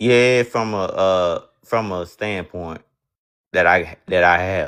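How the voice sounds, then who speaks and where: A man talks at a very slow pace with a Southern US accent. The background is quiet. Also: fairly low pitch for a man, ordinary pitch variation. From US South. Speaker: caller on a debate stream. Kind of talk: religious debate. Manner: halting, repeats words often.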